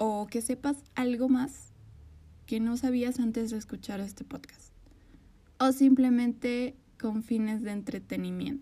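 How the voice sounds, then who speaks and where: Her voice high yet dark and mellow in tone, a woman speaks at a fairly slow pace with monotone, flat intonation. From Bolivia. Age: 20s. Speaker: podcast host. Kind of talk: podcast intro monologue.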